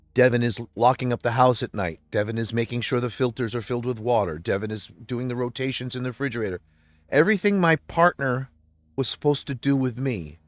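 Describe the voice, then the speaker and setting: Music plays in the background while a man speaks at a moderate pace in a medium pitch. The sound is dry and close with no echo. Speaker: religious livestreamer. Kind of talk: emotional personal monologue. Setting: livestream. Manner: loud.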